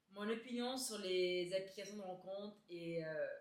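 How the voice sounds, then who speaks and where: Audible room echo surrounds a woman's medium-pitched voice. She speaks very slowly, with ordinary pitch variation. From Quebec, Laval (Montreal area). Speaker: beauty YouTuber. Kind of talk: casual Q&A chat to camera. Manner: hesitant, many euh fillers.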